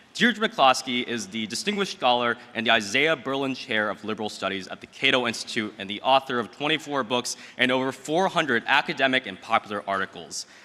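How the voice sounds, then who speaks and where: A man with a medium pitch talks at a fairly quick pace with lively intonation and hardly any pauses, over noticeable background noise. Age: 20s. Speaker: event emcee, law student. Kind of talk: speaker introduction. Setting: stage with audience.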